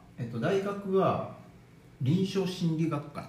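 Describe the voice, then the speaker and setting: Talking in a high voice with ordinary pitch variation, a man is heard with audible room echo. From Okayama, Japan. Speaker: bodywork practitioner, former trainer. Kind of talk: casual chat.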